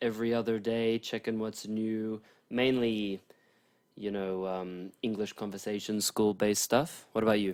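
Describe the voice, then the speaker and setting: A man talks at a moderate pace in a fairly low, monotone voice with flat intonation. The recording is very clean, with a silent background. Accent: Australian. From Australia. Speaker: podcast co-host. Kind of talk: casual chat.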